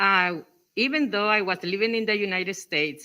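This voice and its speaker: In a strong coastal Mexican accent, a woman talks at a fairly high pitch with ordinary pitch variation. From Mexico, Acapulco (Guerrero coast). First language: Spanish. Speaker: English teacher in workshop. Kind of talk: workshop discussion.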